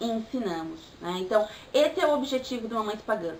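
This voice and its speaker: Through noticeable background noise, a woman with a fairly high pitch talks at a moderate pace with ordinary pitch variation. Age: 20s. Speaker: vlogger, pagan mother. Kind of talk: vlog monologue.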